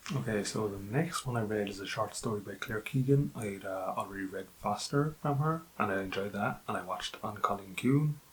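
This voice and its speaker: A man speaks with an Irish accent. His pitch varies in an ordinary way. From Ireland. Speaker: book youtuber. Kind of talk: casual book review monologue. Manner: hesitant with many fillers.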